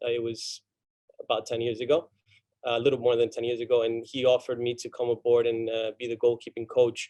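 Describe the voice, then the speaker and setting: Delivered at a fairly quick pace, this speech has a Spanish accent and monotone, flat intonation. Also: man. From Argentina. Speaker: college soccer coach. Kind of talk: panel talk. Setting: video call. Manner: halting.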